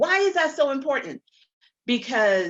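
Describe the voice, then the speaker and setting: A woman with a fairly high pitch speaks with very wide pitch swings. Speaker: motivational speaker. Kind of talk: testimony.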